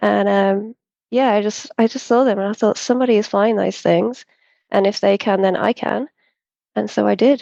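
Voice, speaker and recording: Her tone calm and her pitch medium, a woman with an English accent is heard in a dry, close sound with no echo against a quiet background. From central England. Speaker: hot air balloon pilot. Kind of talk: interview conversation.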